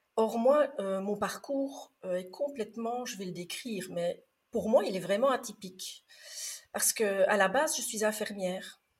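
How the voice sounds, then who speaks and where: Speaking at a fairly slow pace, a woman with a slight Belgian accent has a fairly high pitch and big swings in loudness. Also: ordinary pitch variation. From Belgium. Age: 50s. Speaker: former nurse and trainer, podcaster. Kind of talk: interview. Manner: calm.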